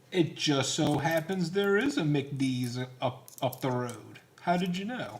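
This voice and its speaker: A man's fairly high voice, fairly slow in pace and lively in intonation, over noticeable background noise. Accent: American. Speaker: coin collecting live streamer. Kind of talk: casual live stream chat. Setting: live stream.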